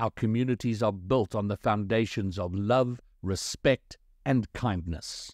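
On a very clean recording with a silent background and a dry, close sound with no echo, a man with a plain, everyday voice talks fairly slowly at a fairly low pitch with ordinary pitch variation. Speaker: voice actor. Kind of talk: documentary narration.

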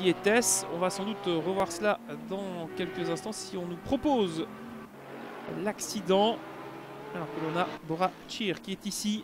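At a fairly slow pace and a high pitch, a man speaks with long, frequent pauses over noticeable background noise. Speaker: sim racing commentator. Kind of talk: race commentary. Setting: recorded VOD commentary over gameplay. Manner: fluent, attentive play-by-play, moderately paced.

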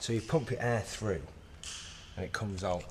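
Noticeable background noise sits behind a man speaking at a fairly quick pace and fairly low pitch. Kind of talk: casual vlog chat. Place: church. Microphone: phone near.

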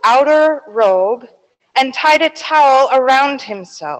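A woman speaks at a very slow pace in a high pitch. Her intonation is lively, and the background stays quiet. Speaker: pastor. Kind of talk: sermon. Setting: church. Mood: solemn, measured. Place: church. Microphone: handheld.

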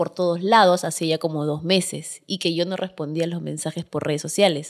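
A woman talks in a fairly low pitch. The background stays quiet. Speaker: social media content creator; podcast guest. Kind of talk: casual interview chat. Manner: fast. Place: studio. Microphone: studio mic.

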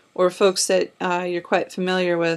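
Against a quiet background, a woman talks in a fairly low pitch with a monotone, flat intonation. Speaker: podcast host. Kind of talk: interview questions.

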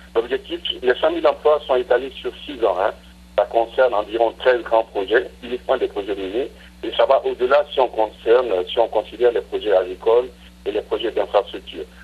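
A man keeps a moderate pace while noticeable noise sounds in the background. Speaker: government minister. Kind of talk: interview. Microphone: poor line.

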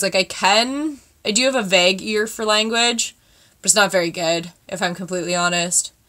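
Moderate pace, ordinary pitch variation and a Canadian accent against a quiet background. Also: woman. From Canada. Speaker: beauty vlogger. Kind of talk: makeup tutorial vlog. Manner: chatty, casual. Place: home room. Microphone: webcam.

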